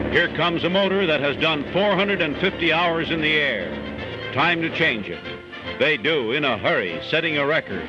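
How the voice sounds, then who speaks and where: Music plays in the background as a man talks at a moderate pace. His voice is fairly high, with ordinary pitch variation. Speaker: newsreel narrator. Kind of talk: 1940s newsreel narration.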